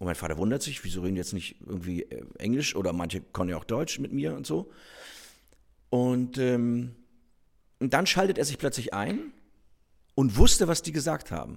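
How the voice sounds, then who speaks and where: A man with a northern German accent, medium in pitch with very wide pitch swings and vocal fry, at a moderate pace with long, frequent pauses, on a very clean recording with a silent background. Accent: northern German colouring. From northern Germany, Rostock. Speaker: stage actor. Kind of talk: casual conversation; reading aloud.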